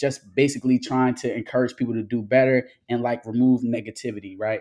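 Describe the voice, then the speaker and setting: A dark, mellow tone in a monotone, flat delivery at a fairly quick pace. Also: man. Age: 20s. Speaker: social media motivational speaker. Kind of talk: casual interview.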